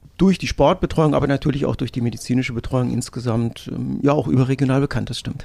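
A man talks at a very fast pace in a medium pitch with ordinary pitch variation. His tone is dark and mellow, with vocal fry. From northern Hesse, Germany. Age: 50s. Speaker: sports nutrition expert. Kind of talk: interview. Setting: studio.

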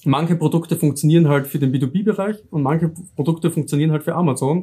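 This man speaks with a slight southern Austrian accent in a dark, mellow tone. His intonation is fairly even. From southern Styria, Austria. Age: 30s. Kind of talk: interview.

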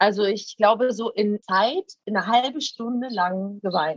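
In a dry, close sound with no echo, a woman speaks with a fairly high pitch and ordinary pitch variation. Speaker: reality TV personality. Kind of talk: casual interview. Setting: outdoors.

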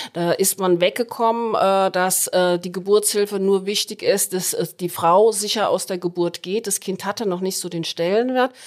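A woman speaks at medium pitch and a moderate pace with hardly any pauses. It is an ordinary speaking voice. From Hesse, Germany. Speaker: head midwife. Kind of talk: podcast interview.

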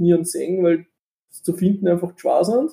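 Speaking at a fairly quick pace, a man has a high pitch and a dark, mellow tone. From Austria, Linz. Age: 30s. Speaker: game designer and computer science student. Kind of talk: interview. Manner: halting, many fillers.

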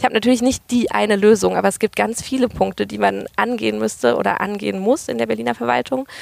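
The speaker is a woman talking at a very fast pace. She leaves hardly any pauses. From Germany, Berlin then Freiburg area (Baden-Württemberg). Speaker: political candidate. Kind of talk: interview.

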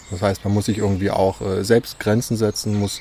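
Over noticeable background noise, a man talks at a fairly quick pace with a fairly low pitch and monotone, flat intonation. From Saxony, Dresden. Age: 20s. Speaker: youth participation facilitator. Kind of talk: interview. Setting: outdoors in a park.

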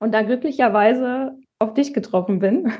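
Here a woman has a normal speaking voice. Her pitch is fairly high, with ordinary pitch variation. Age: 30s. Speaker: department head in healthcare. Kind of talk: interview.

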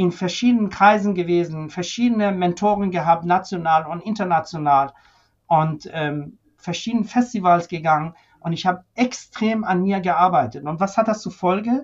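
A man speaks in a Persian accent. His voice is high-pitched, with lively intonation. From Iran (Tehran), moved to Germany at 13. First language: Persian (speaking German). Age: 50s. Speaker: senior physician, ventilation medicine expert. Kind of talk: interview conversation.

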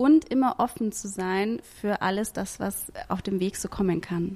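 A woman with an ordinary speaking voice talks at a medium pitch and moderate pace, with ordinary pitch variation. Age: 30s. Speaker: podcast host and event programme manager. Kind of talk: casual testimonial.

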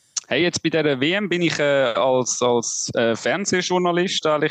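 A man with an unremarkable speaking voice and fairly high pitch talks at a fairly slow pace with ordinary pitch variation, in a dry, close sound with no echo. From Switzerland. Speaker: sports journalist. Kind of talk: casual chat.

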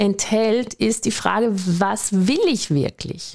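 A woman with an Austrian accent, on a very clean recording with a silent background. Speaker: business coach, podcast host, former doctor. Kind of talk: motivational monologue.

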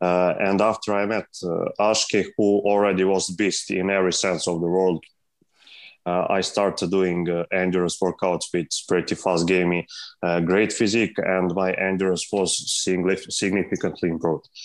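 A man's very deep, low voice with a Serbian accent, monotone and flat, at a moderate pace and very even loudness against a quiet background. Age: 20s. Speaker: calisthenics athlete. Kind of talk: interview. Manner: halting.

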